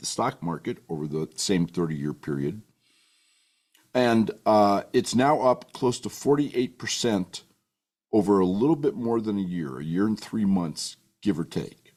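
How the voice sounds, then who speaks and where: With lively intonation, the man keeps a moderate speed. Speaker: rancher and author. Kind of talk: political and financial commentary broadcast. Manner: folksy, emphatic.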